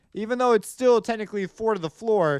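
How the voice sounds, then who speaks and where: A loud man, dry and close with no echo, on a very clean recording with a silent background. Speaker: music composition teacher. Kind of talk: tutorial.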